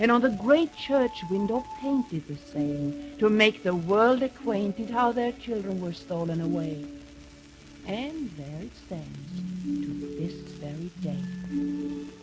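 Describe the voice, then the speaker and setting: A woman speaks at a very slow pace, her pitch swinging very widely. Her loudness rises and falls sharply over background music. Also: medium pitch for a woman. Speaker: narrator. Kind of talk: radio play narration of a poem.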